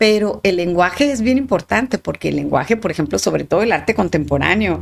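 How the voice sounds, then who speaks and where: Speaking at a fairly quick pace, a woman talks with a strong northern Mexican accent. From northern Mexico, Sonora. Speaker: art historian. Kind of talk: podcast interview. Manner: halting, many repetitions; articulate, clear.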